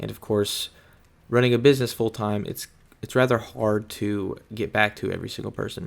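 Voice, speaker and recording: A fairly low-pitched man at a moderate pace, with fairly even intonation and big swings in loudness. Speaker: detailing business owner and video creator. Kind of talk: voiceover monologue over footage. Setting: voiceover recorded over footage. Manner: rambling, casual, with fillers and repeats.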